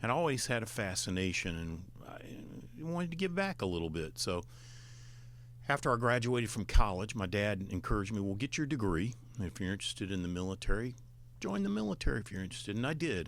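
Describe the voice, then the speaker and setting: A man's fairly low voice with an Alabama accent, very fast delivery, vocal fry, and very wide pitch swings. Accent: Southern US (Alabama). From Alabama, US South. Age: 60s. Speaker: retired admiral, former state veterans affairs official. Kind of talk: radio interview.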